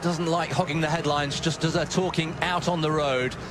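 Excited and enthusiastic, a man talks at a fairly quick pace and a fairly high pitch. Noticeable background noise runs behind him. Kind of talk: live sports commentary. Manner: excited, enthusiastic and warm, admiring of the athletes; quick, fluid and conversational co-commentary.

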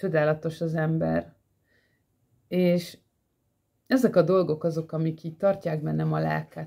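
A woman at a fairly slow pace with long, frequent pauses, against a quiet background. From Hungary. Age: 40s. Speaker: vlogger. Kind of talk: personal monologue. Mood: earnest, emotional, animated. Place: home room. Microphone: phone near.

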